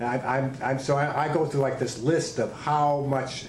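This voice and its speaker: Noticeable background noise and audible room echo accompany a man speaking at a medium pitch. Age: 60s. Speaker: martial arts instructor. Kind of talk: interview.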